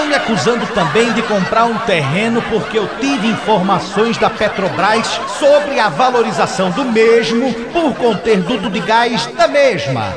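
Against crowd noise in the background, a man with a high pitch speaks at a fairly slow pace with hardly any pauses. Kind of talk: stand-up comedy parody. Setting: stage, bar stand-up.

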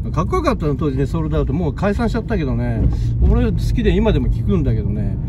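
Loud background noise sits under a very fast voice with a dry sound and no echo. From Shizuoka, Japan. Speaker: video blogger filming city walk. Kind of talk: casual walking vlog narration. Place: car. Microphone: phone near.

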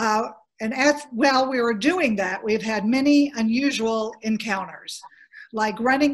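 Speaking very slowly with an American accent, a woman uses ordinary pitch variation. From US South. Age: 60s. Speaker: former organization president; former council president, panelist. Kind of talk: panel discussion. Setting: video call. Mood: warm, amused storytelling. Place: home room. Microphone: video call.

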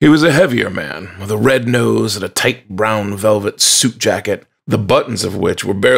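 The reading voice sounds natural, and the background stays quiet.

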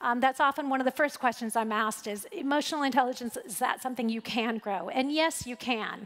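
A woman talks at a moderate pace with ordinary pitch variation against a quiet background. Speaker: conference speaker. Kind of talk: keynote talk. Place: stage. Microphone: headset.

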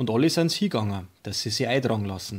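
Recorded very cleanly against a silent background, a man talks at a fairly low pitch with an Upper Bavarian accent. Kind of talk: Bible story reading.

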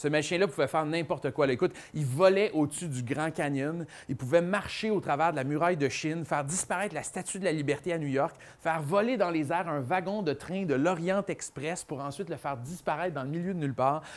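With a Quebec accent, a man speaks fairly quickly at a fairly high pitch with ordinary pitch variation. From Quebec, Montreal area. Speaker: children's author and magician. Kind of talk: presentation to a young audience; animated talk to children. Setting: book fair stage with audience. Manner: casual, filler-heavy. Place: classroom. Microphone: lapel.

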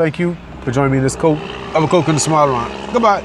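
A man with a fairly high pitch and ordinary pitch variation talks at a very fast pace, the sound dry with no echo and noticeable background noise behind him. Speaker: vlogger. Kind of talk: angry rant. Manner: indignant, scolding; repetitive, halting. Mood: annoyed, lecturing. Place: car. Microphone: phone near.

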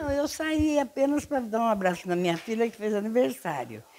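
A woman speaks at a fairly high pitch and a fairly quick pace. Her pitch swings very widely. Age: 80s+. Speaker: retiree. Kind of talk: interview answer. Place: home room. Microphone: handheld.

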